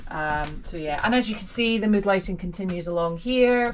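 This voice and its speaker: There is noticeable background noise. A woman speaks at a moderate pace with ordinary pitch variation. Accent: Scottish. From Scotland. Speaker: vlogger. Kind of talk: home tour. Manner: hesitant, many fillers.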